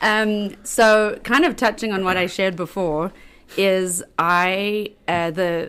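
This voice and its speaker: A woman speaks at a very slow pace with a strong South African accent, her pitch medium and its variation ordinary. The recording is very clean, with a silent background. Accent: South African, heavy. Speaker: local government worker. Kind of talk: casual chat. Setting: studio.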